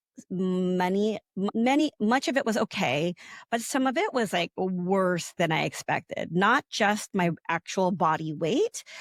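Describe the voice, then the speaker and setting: A woman with an ordinary speaking voice talks at medium pitch and a fairly slow pace. Her intonation is lively, and the sound is dry and close with no echo. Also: very clean recording, silent background. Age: 40s. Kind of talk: casual podcast conversation.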